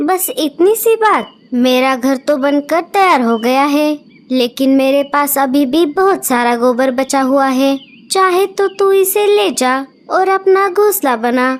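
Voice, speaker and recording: A female-sounding voice performs a cartoonish character at a high pitch. The pace is fairly slow. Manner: familiar, blunt.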